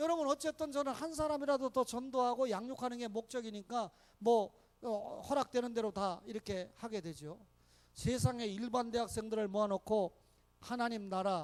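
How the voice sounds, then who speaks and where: With a dry, close sound and no echo, the speech runs at a moderate pace with ordinary pitch variation. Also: man, extremely high pitch for a man. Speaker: pastor. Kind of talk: sermon. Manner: animated.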